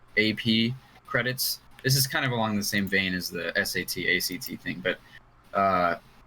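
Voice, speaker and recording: A man's fairly low voice with ordinary pitch variation over noticeable background noise. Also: moderate pace. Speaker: podcast co-host. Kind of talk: casual chat.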